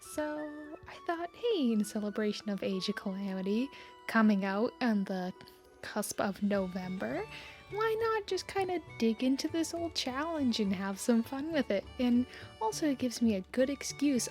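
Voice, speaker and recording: Quiet and at a fairly slow pace, a woman speaks in a fairly high pitch with lively intonation while music plays in the background. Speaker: artist. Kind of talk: casual talk to camera.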